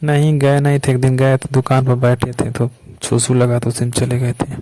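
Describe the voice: Here a man speaks at a moderate pace and medium pitch. His tone is dark and mellow, his intonation monotone and flat.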